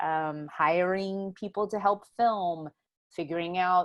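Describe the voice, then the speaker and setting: Speaking at a fairly slow pace, a woman with an American accent has a plain, everyday voice, medium pitch and ordinary pitch variation. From Houston, Texas. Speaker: writer and filmmaker. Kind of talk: oral history interview answer. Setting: video call.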